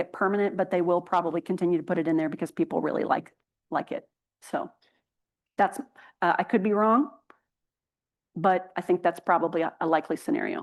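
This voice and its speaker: A woman at a very fast pace with long, frequent pauses, medium pitch and ordinary pitch variation, over a quiet background. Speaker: healthcare policy speaker. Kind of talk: conference presentation Q&A. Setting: conference stage with audience, streamed on Zoom.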